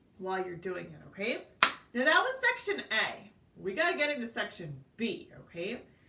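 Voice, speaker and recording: Over noticeable background noise, a woman talks at a moderate pace in a fairly high voice, her pitch swinging very widely and her loudness rising and falling sharply. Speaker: piano teacher. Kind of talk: tutorial.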